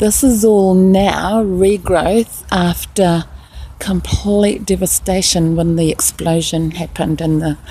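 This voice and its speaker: Against noticeable background noise, a woman with a New Zealand accent speaks at a very slow pace, with fairly low pitch and fairly even intonation. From New Zealand, Rotorua. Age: 60s. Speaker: nurse. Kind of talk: casual video narration. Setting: outdoors. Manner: slightly halting.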